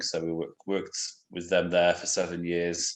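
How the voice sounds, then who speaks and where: A man's very deep, low voice in a British accent, at a moderate pace with monotone, flat intonation. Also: quiet background. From England. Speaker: missionary. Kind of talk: interview. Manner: hesitant, many fillers.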